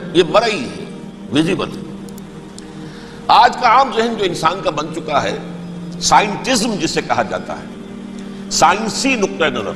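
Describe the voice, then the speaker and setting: A man speaks over noticeable background noise. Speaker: Islamic scholar giving a religious lecture. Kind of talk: Islamic sermon (bayan). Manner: emotional, earnest, explanatory.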